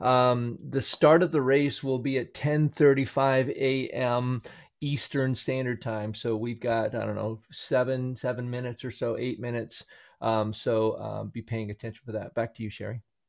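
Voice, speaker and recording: A man speaks in a plain, everyday voice at a moderate pace. His pitch is medium and his intonation fairly even. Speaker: co-host of wheelchair race livestream, wheelchair racer. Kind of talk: live event hosting and race commentary. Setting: live stream video call.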